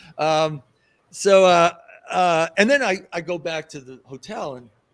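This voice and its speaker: This is a man speaking with an American accent. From New York City. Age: 60s. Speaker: festival organizer. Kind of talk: interview. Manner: halting, many repeated words; casual.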